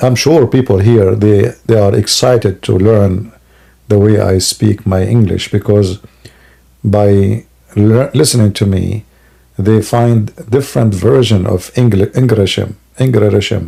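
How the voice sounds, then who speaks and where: With an Arabic accent, a man speaks at a fairly slow pace in a fairly low, dark, mellow, somewhat breathy voice with very even loudness. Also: ordinary pitch variation. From Middle East. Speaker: live stream host debating religion. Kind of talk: live stream chat with callers. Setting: live online broadcast. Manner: animated, joking.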